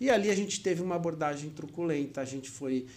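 The speaker is a man. His pitch is fairly high. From Maceió, Brazil (born São Paulo). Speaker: consumer protection lawyer. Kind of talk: interview.

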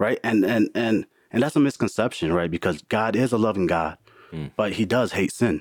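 A man with an American accent and an ordinary speaking voice, fairly low in pitch, at a moderate pace with lively intonation. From US Midwest, Milwaukee. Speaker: IT worker, churchgoer. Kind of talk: casual chat.

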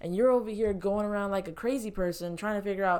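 A woman with an American accent at a very fast pace, ordinary pitch variation, on a very clean recording with a silent background. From Florida, US. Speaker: podcast host. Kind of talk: casual chat. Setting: bedroom at home.

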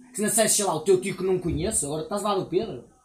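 Against noticeable background noise, a man speaks in a high voice with ordinary pitch variation. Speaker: podcast guest. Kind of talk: casual chat. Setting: outdoor table at a house.

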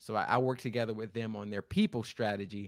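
A man with an American accent speaks at a medium pitch. He has a plain, everyday voice with fairly even intonation. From Florida. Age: 30s. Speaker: author and leadership coach. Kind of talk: interview. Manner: repeats words when speaking.

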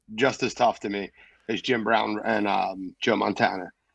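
Against a quiet background, a man talks with a Philadelphia accent and vocal fry. His pace is fairly slow. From Philadelphia, North Philly. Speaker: sports podcaster. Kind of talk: casual chat.

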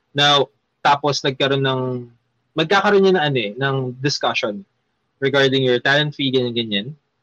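With a Filipino accent, a man speaks in a bright, sharp tone at a fairly high pitch with ordinary pitch variation and long, frequent pauses, recorded with a dry, close sound and no echo. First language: Tagalog. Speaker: magician. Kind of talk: casual chat. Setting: live stream.

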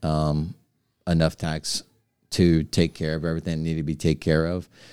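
In an American accent, a man speaks with a very deep, low pitch and a dark, mellow tone. His intonation is monotone and flat, on a very clean recording with a silent background. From southern Louisiana (Cut Off). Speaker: city alderman, home inspector. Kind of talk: casual interview.

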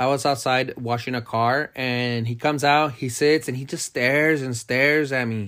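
This man has a normal speaking voice with fairly even intonation, talking at a moderate pace with hardly any pauses. The recording is very clean with a silent background. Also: medium pitch for a man. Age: 30s. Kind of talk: casual chat. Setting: home recording at midnight.

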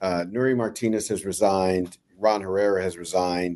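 With an American accent, a man speaks at a moderate pace in a fairly low pitch, a normal speaking voice. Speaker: city council member. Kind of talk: interview on radio.

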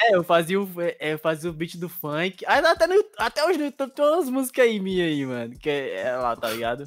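High male speech at a moderate tempo, full of very wide pitch swings. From Bahia, Brazil. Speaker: geek rapper. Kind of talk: casual chat. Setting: video call.

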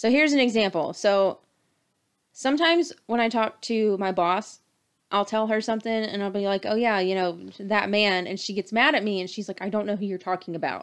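A woman with a North Carolina accent, medium in pitch, at a fairly quick pace, over a quiet background. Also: ordinary pitch variation. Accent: Southern US (North Carolina). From North Carolina (Durham). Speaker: podcast host. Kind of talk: casual chat.

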